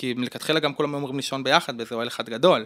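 A man is talking here. There is no background sound at all, and the recording is very clean. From Israel, Gush Etzion. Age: 30s. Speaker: social worker. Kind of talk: interview.

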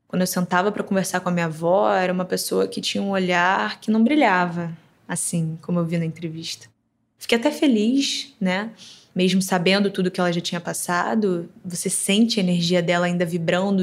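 Using an unremarkable speaking voice, a woman talks at a fairly quick pace and a fairly low pitch with ordinary pitch variation. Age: young. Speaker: interviewee, granddaughter. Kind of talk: interview.

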